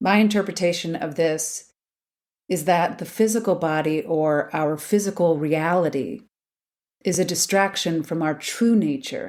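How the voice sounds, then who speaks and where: Recorded very cleanly against a silent background, a woman speaks at fairly low pitch. She talks at a fairly slow pace with ordinary pitch variation. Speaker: podcast host. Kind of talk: spiritual podcast reflection.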